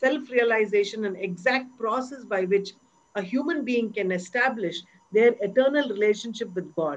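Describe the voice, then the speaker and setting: The pace is moderate and the pitch varies in an ordinary way. Overall it is an ordinary speaking voice. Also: woman. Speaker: dancer and interviewer.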